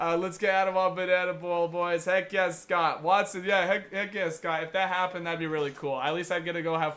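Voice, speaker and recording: Speaking at a fairly quick pace, a man uses a high pitch and an animated tone. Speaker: baseball streamer doing play-by-play. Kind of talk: live play-by-play commentary with chat. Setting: home live stream from his room. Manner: fast; casual, animated.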